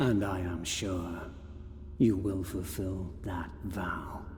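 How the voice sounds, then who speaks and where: A man's cartoonish character voice, very deep and low in pitch, at a very slow pace over clear background noise. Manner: terse, sardonic.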